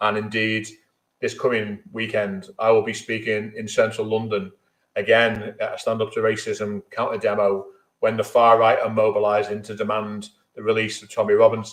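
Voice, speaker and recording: With a Merseyside accent, a man holds a medium pitch in monotone, flat intonation. His loudness takes big swings. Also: moderate pace. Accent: Merseyside (Scouse). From Merseyside, England. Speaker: trade union leader. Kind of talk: speech at online memorial event.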